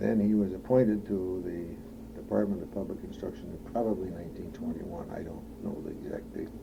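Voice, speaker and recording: Amid audible room echo, a man with a very deep, low pitch speaks at a fairly quick pace with very wide pitch swings. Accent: Upper Midwest. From Madison, Wisconsin. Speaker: oral history interviewee. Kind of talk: oral history interview. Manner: halting, many fillers.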